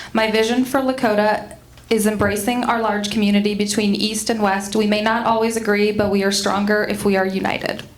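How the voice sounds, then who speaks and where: Over noticeable background noise and audible room echo, the voice moves at a fairly quick pace with monotone, flat intonation and very even loudness. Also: woman, fairly high pitch for a woman. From Quebec (near Montreal). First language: French. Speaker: school board candidate. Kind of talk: candidate forum opening statement.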